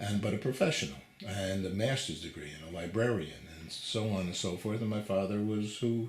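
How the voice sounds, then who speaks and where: Fairly quick, fairly low speech from a man with ordinary pitch variation and audible room echo. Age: 60s. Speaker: TV interviewer. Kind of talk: interview conversation. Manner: halting, many fillers.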